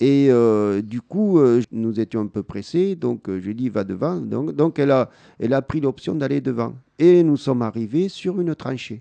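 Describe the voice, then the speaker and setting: Speaking at a fairly slow pace, a man with a medium pitch and a dark, mellow tone makes very wide pitch swings in a dry, close sound with no echo. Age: 50s. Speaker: blind guide-dog user. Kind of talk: interview with schoolchildren. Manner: halting, many hesitations.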